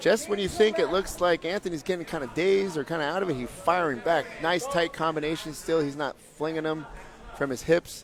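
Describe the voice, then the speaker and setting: With noticeable background noise behind him, a man talks at a fairly quick pace. His pitch is high, with ordinary variation. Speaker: MMA commentator; fight coach. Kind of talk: live commentary. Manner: loud; animated.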